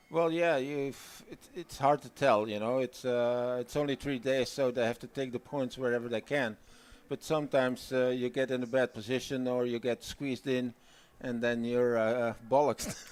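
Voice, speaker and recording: Moderate pace and fairly even intonation from a man at a medium pitch. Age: 60s. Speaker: derny pacer manager. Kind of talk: casual chat. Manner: halting.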